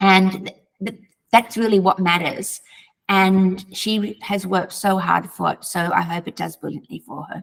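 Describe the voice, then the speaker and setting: A woman with an Australian accent, medium pitch, a somewhat breathy voice and a moderate pace. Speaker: author. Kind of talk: interview.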